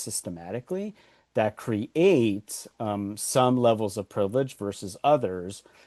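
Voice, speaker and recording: At a fairly low pitch, a man is heard in a dry, close sound with no echo and a quiet background. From Los Angeles, US. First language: Spanish. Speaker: author and workshop consultant. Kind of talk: podcast interview. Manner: halting, with many repeated words.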